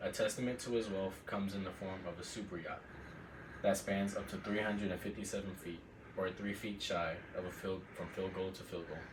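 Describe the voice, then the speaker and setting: Noticeable background noise sits behind a man's voice. His pitch is fairly low and his intonation flat and monotone. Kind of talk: informative class speech. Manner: formal, prepared.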